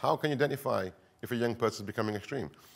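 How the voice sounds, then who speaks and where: Speaking at a very fast pace, a man talks in a northern English accent. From northern England. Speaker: counter-extremism expert. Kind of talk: conference talk. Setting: stage with audience.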